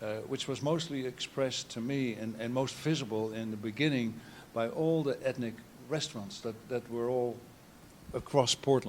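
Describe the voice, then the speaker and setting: A man speaks with a Dutch accent. His intonation stays fairly even. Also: medium pitch for a man, moderate pace. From Netherlands. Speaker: photographer. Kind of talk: artist talk. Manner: halting.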